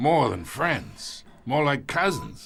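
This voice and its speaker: Using a put-on character voice, a man sounds raspy and fairly high-pitched. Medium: video game. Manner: gruff, patronizing.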